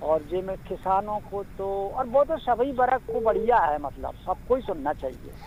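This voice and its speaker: Barely pausing, a man with a high pitch talks with lively intonation. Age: 60s. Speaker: radio listener caller. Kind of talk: casual chat.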